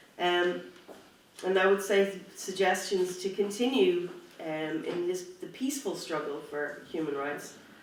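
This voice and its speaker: Against noticeable background noise, the speech moves at a fairly slow pace. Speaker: human rights activist. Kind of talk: conference speech.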